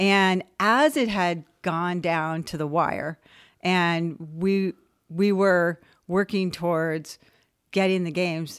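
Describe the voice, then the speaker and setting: The recording is very clean, with a silent background. A woman with a fairly low pitch speaks at a very slow pace. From Southern California, West Covina. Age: 60s. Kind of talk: interview.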